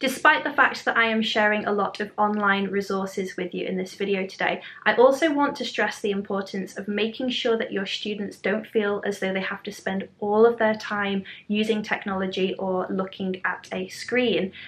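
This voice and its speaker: With a British accent, a woman talks at a moderate pace with ordinary pitch variation and hardly any pauses. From UK. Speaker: primary school teacher, education vlogger. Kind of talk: tutorial. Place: home room.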